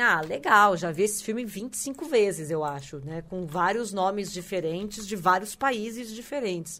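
A woman with an ordinary speaking voice, lively intonation and a fairly slow pace. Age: 40s. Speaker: podcast co-host. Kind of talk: casual chat.

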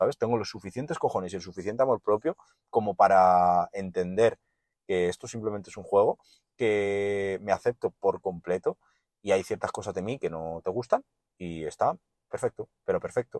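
At a moderate pace, a man talks in a fairly low pitch with ordinary pitch variation, the sound dry and close with no echo. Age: 20s. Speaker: podcaster. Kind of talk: solo monologue. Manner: animated.

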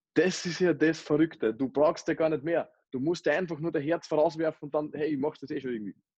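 In a dry, close sound with no echo, a man speaks very fast in a fairly high pitch with fairly even intonation. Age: 20s. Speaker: network marketer. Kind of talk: interview. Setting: remote call.

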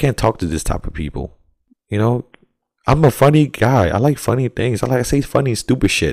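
The speaker has an American accent. Vocal fry runs through the voice. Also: man, very clean recording, silent background. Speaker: podcast co-host. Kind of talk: casual chat.

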